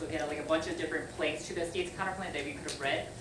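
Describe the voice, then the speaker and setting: Noticeable background noise and audible room echo. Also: woman. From US, Virginia (high school). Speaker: debate coach, college debater. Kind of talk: lecture. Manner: casual, filler-heavy ('like').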